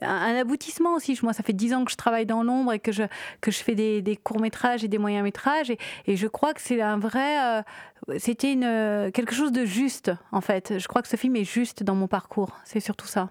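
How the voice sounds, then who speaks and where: A woman with a normal speaking voice and fairly high pitch talks at a moderate pace with ordinary pitch variation, recorded very cleanly against a silent background with a dry, close sound and no echo. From Réunion. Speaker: film director. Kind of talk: interview.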